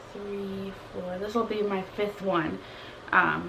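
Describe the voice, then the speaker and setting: A soft-spoken woman is heard with audible room echo. Noticeable background noise is present as well. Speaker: beauty and lifestyle vlogger. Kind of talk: casual chat.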